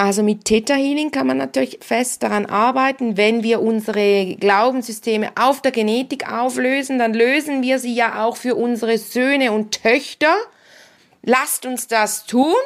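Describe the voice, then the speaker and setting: Here a woman talks at a moderate pace. Her pitch is fairly high, with ordinary variation. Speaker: podcast host and Theta Healing practitioner. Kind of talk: solo podcast monologue. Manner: casual, animated.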